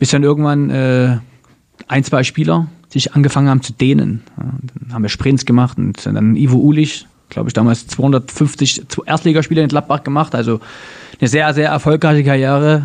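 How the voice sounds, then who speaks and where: A man with a normal speaking voice, fairly high pitch, fairly even intonation and a moderate pace. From Dresden, Saxony, Germany. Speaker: former goalkeeper turned entrepreneur. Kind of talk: interview conversation. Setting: at his company office.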